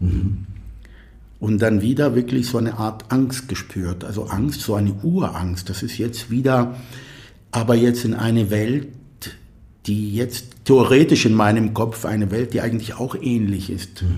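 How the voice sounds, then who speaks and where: Somewhat breathy with a dark, mellow tone, a man speaks at a fairly slow pace with ordinary pitch variation, long, frequent pauses and audible room echo. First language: Arabic (speaking German). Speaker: composer. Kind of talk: interview conversation. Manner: halting.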